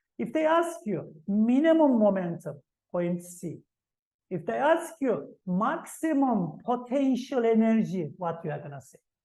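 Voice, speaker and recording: In a fairly high, dark, mellow, somewhat breathy voice, a woman speaks at a fairly slow pace with very wide pitch swings and big swings in loudness. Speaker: physics teacher. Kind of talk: exam revision lesson.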